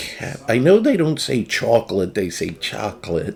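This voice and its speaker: The speaker is a man talking in an American accent. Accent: New Jersey, usually held back. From New Jersey. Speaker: video game streamer. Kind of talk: casual chat.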